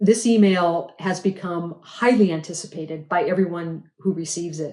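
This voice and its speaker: A woman's fairly low voice, an unremarkable speaking voice, at a moderate pace with fairly even intonation. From Montana. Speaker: lay preacher. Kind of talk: homily.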